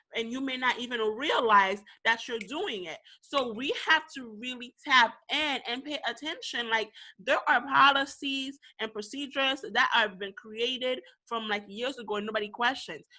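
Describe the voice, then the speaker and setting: In a Haitian accent, the speaker sounds bright and sharp, with an animated tone, big swings in loudness and a quiet background. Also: woman, high pitch for a woman, ordinary pitch variation, moderate pace. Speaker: podcast co-host. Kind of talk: casual discussion.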